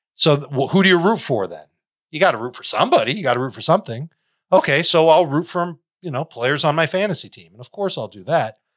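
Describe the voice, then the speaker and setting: On a very clean recording with a silent background, a man with an American accent speaks very fast at a fairly high pitch, his lively intonation paired with vocal fry and big swings in loudness. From Chicago. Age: 40s. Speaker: fantasy football analyst. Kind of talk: casual interview.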